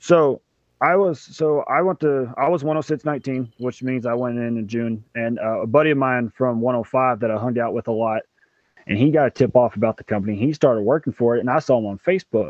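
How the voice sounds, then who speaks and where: This man talks fairly quickly at a medium pitch in a Southern US accent. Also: ordinary pitch variation. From Mississippi, near Memphis. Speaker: commercial diver. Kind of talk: interview.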